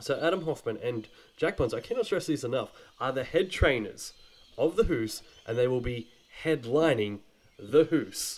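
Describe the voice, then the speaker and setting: Lively intonation marks this man's fairly high voice, which has an Australian accent, a moderate pace, and long, frequent pauses. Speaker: podcast host. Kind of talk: casual chat. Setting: holiday house.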